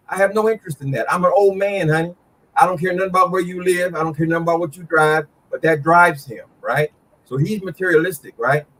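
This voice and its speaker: A man speaks at a very fast pace in a high voice with an animated tone and ordinary pitch variation, the sound dry and close with no echo. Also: big swings in loudness. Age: 60s. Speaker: YouTube commentator. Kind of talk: casual chat.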